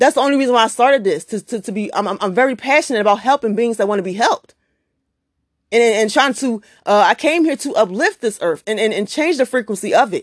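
A woman speaks at a very fast pace in a fairly high pitch, her intonation lively. The sound is dry and close, with no echo. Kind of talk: heated spiritual rant, podcast monologue, fired-up and profane. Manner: emphatic, forceful, preachy, repeating words and stammering with passion; confrontational, colloquial, swearing.

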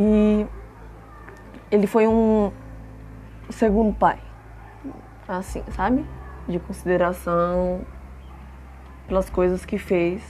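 A woman speaks at a very slow pace. Her speech is broken by long, frequent pauses. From Brazil, Franco da Rocha, São Paulo state. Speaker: podcast host. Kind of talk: personal monologue, casual. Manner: casual, informal.

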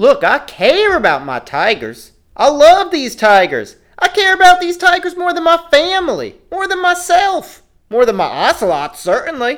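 Put-on character voice at an extremely high pitch. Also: moderate pace. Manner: folksy, defensive, then threatening.

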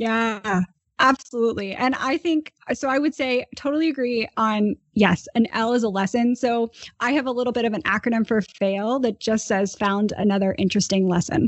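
With an ordinary speaking voice, a woman speaks at a fairly high pitch, ordinary pitch variation and a moderate pace. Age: 30s. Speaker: podcast host. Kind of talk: casual interview.

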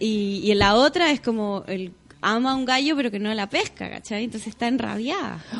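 With noticeable background noise, a woman talks at a fairly quick pace, her fairly high voice showing ordinary pitch variation. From Chile. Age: 30s. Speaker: singer and yoga teacher. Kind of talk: casual chat.

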